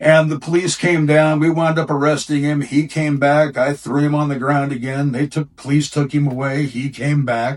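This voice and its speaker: This man talks at a moderate pace with hardly any pauses, his fairly high voice held in a flat monotone. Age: 60s. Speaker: bouncer. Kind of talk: interview storytelling.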